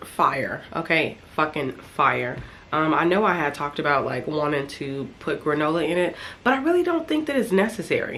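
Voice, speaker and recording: Amid audible room echo, a woman with a very deep, low pitch speaks at a moderate pace with lively intonation. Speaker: vlogger and online reseller. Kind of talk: casual vlog talk to camera.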